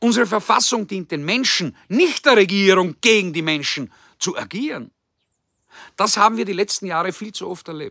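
A man projects his high-pitched voice in a bright, sharp tone, with lively intonation and big swings in loudness. He keeps a moderate pace over a quiet background, with a dry sound and no echo. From Austria. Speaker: political commentator. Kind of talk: political address. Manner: formal. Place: garden. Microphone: phone near.

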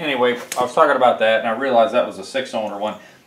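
Very fast speech carries audible room echo over light background noise. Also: man. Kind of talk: tutorial. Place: garage.

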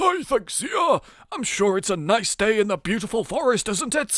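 A man performs a put-on character voice at a high pitch. He keeps a moderate pace. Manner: friendly greeting.

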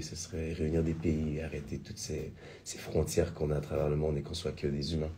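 Light background noise sits under a man's dark, mellow tone. He sounds somewhat breathy and keeps a moderate pace. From Quebec. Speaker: singer and musical theatre performer; interview guest. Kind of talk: radio interview. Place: studio. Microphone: studio mic.

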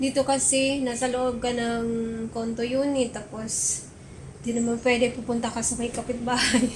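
A woman with a high pitch talks at a moderate pace in a flat, monotone way, with audible room echo and noticeable background noise. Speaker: vlogger. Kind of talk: casual vlog talk. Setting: at home.

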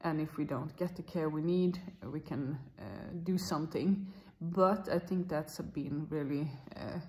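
A woman talks at a fairly slow pace. Her voice is somewhat breathy. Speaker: vlogger. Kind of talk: casual vlog chat. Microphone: phone near.

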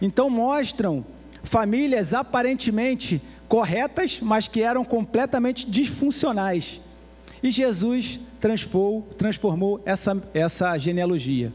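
A man's high-pitched voice at a very slow pace, with very even loudness. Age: 50s. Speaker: pastor. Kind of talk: sermon. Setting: church. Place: church. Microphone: handheld.

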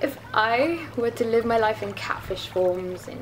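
Against noticeable background noise, a woman speaks fairly slowly with a British accent. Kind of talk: poetry reading.

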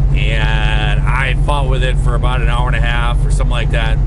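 This man is heard over loud background noise. The sound is dry, with no echo. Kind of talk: casual vlog chat. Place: car.

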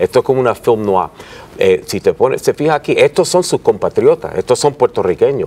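Recorded with a dry, close sound with no echo, a man speaks over noticeable background noise. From New York, Puerto Rican family. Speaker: author and lawyer. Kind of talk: TV interview. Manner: halting.

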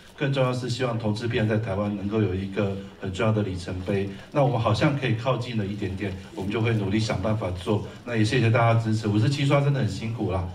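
A man talks at a very fast pace in a Taiwanese accent, his pitch fairly low and his intonation fairly even. Light background noise can be heard. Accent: Taiwanese Mandarin. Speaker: screenwriter and film producer. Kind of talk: post-screening Q&A. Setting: stage with audience. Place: hall.

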